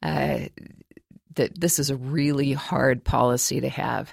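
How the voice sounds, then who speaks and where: A woman at a fairly slow pace in a very clean recording with a silent background. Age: 60s. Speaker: professor of creative writing and author. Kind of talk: interview.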